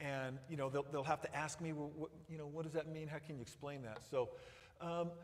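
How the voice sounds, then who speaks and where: Flat, monotone intonation carries speech at a fairly quick pace. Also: man, fairly high pitch for a man. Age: 60s. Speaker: missionary Bible teacher. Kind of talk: missionary report with Q&A to congregation. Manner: halting, many repetitions.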